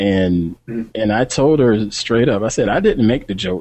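A man talks in an ordinary speaking voice at a medium pitch. His pace is moderate and his pitch variation ordinary. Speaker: tech podcast co-host. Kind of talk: casual banter. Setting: video call.

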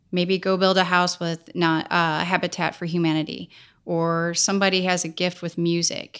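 A woman with an American accent and an unremarkable speaking voice, fairly low in pitch, her intonation fairly even. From US Midwest, St. Louis, Missouri. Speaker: filmmaker and foundation co-founder. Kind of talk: interview conversation.

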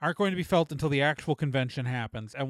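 In a very clean recording with a silent background and a dry, close sound with no echo, a man uses an unremarkable speaking voice, fairly high in pitch with ordinary pitch variation. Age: 40s. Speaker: podcast host. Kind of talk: casual chat.

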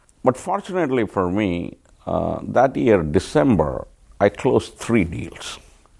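A man speaks at a fairly slow pace in a fairly low voice with vocal fry, his pitch swinging very widely. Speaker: tech business executive. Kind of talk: interview.

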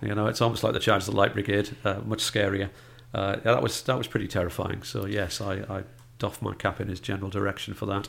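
A man talks at a very fast clip with vocal fry. His fairly low voice stays monotone and flat. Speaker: film critic. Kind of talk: casual chat.

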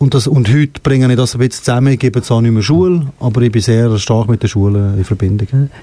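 A man of medium pitch talks at a very fast pace in a dark, mellow, somewhat breathy tone. His loudness stays very even while his pitch varies in an ordinary way. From Switzerland, Fribourg (bilingual region). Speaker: singer and music academy founder. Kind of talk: interview. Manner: halting.

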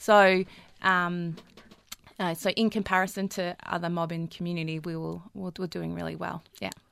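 This woman has an Australian accent and a fairly low pitch. Her intonation is monotone and flat, and her pace moderate. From Melbourne, Australia (Fitzroy and Collingwood). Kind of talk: podcast interview.

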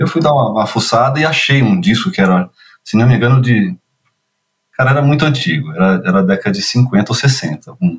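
Somewhat breathy speech comes at a fairly quick pace, with very wide pitch swings and very even loudness. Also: man, medium pitch for a man. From Brazil, São Paulo; childhood also in Curitiba, Rio, Minas Gerais. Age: 50s. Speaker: children's media producer and screenwriter. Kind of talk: casual interview. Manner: hesitant, many repetitions and fillers.

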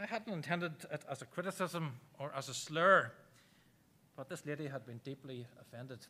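A man with an Irish accent speaks at a moderate pace, using a fairly high pitch, ordinary pitch variation and a bright, sharp tone. His loudness swings widely, and he leaves long, frequent pauses. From Ireland. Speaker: preacher. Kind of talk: sermon. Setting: church.

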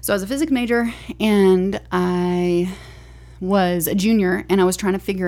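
Her tone is dark and mellow, at a medium pitch. This woman shows ordinary pitch variation. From Alabama, near Tuscaloosa. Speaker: neuroscientist. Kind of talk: casual chat.

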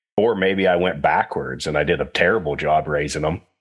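At a moderate pace, a man speaks with an American accent against a quiet background. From Western Pennsylvania. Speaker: swine industry technical services manager. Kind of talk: casual interview.

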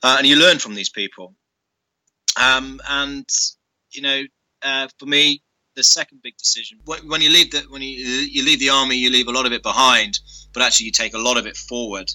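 With a British accent, the speaker moves at a fairly quick pace, breaking into long, frequent pauses, with fairly even intonation, big swings in loudness and a dry, close sound with no echo. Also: man, medium pitch for a man. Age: 30s. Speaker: former army officer and business school director. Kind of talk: interview.

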